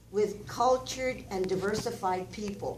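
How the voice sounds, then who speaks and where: Audible room echo, a fairly slow pace and ordinary pitch variation. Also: woman. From Cuba, raised in Oklahoma from age six. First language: Spanish. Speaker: community speaker. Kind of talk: public testimony. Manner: impassioned.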